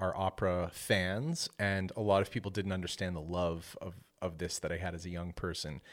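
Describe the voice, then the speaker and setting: A speaker with a Canadian accent talks at a moderate pace. The recording is very clean, with a silent background. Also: man. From Ontario, Canada. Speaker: composer. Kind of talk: interview. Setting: studio.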